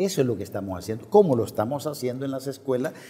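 Talking at a very fast pace, a man uses lively intonation and a dark, mellow tone. The background is quiet. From El Salvador, eastern (La Unión, San Miguel); El Salvador. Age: 60s. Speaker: presidential candidate; interview guest, candidate. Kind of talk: political interview; interview answer. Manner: halting, many fillers and repetitions. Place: studio. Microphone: lapel.

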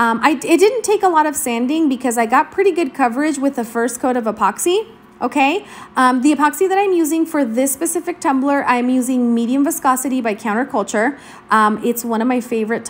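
Her high pitch and lively intonation carry a woman's fairly quick delivery. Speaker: crafting tutorial voiceover narrator. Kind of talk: casual, chatty. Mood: friendly, upbeat.

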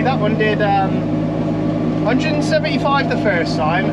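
A man's voice comes through with loud noise in the background. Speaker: farmer and video creator. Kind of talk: casual vlog narration. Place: farm machine. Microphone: phone near.

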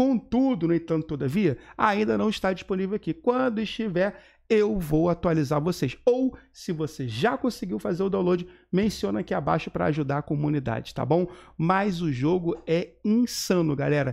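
Over a quiet background, a man speaks with a high pitch, very wide pitch swings and an animated tone. His pace is moderate. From Brazil. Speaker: gaming YouTuber. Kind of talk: gaming news video. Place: home room.

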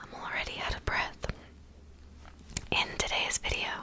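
A soft-spoken woman whispering amid noticeable background noise. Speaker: ASMR creator. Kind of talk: casual vlog chat. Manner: soft close whisper, slightly breathless. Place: home room. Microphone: studio mic.

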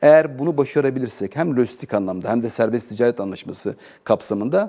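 Here a man is talking. His tone is dark and mellow. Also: very clean recording, silent background. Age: 40s. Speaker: business association president, exporter. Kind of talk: TV interview.

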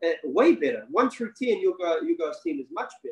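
Against a quiet background, a man talks with a New Zealand accent. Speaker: basketball coach and former pro player. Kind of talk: webinar interview. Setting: video call. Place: home room. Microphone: video call.

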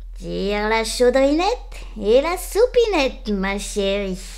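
A woman's put-on character voice at a fairly slow pace, over noticeable background noise. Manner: suave, sweet.

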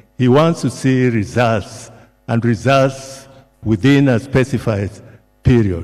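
With music in the background, a man speaks at a very slow pace and with ordinary pitch variation. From Kenya. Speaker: retired civil servant. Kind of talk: eulogy. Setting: church memorial service. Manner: formal, hesitant with fillers. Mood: solemn, respectful. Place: hall. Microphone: podium.

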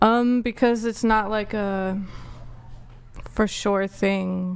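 A soft-spoken woman at a very slow pace. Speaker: panelist. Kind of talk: panel debate. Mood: guarded, reserved. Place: studio. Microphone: studio mic.

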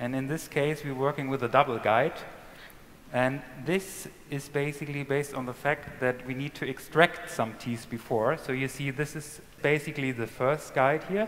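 The man keeps a moderate pace and fairly even intonation. Light noise runs in the background. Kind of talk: live procedure commentary. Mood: calm, focused.

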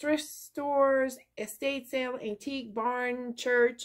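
Against a quiet background, a woman speaks in a high voice at a very slow pace. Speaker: craft vlogger. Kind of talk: casual vlog chat. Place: home room. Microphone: phone near.

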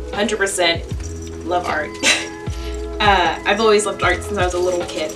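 Clear music in the background behind a woman speaking at a moderate pace. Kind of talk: casual vlog chat. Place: home room. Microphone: camera far.

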